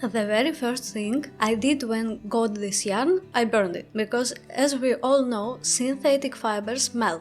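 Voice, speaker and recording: Over music in the background, a woman speaks fairly slowly in a fairly high voice, with ordinary pitch variation and hardly any pauses. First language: not English. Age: 30s. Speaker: crochet content creator. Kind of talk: product review vlog.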